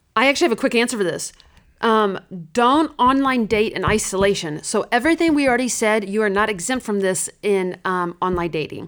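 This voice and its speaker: This woman has an unremarkable speaking voice, fairly high in pitch, with lively intonation and a fairly quick pace. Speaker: church ministry staff, dating guidance speaker. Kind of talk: podcast interview.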